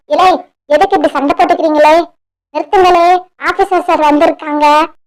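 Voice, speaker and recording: In a cartoonish character voice, a woman speaks squeaky and at an extremely high pitch, keeping a moderate pace. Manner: fast, bossy, dialect-heavy.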